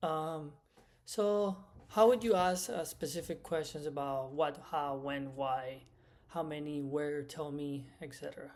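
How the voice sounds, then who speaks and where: A man with a Spanish accent, fairly high pitch, ordinary pitch variation and a fairly slow pace. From Cuba. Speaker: medical Spanish instructor. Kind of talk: lecture. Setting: recorded lecture.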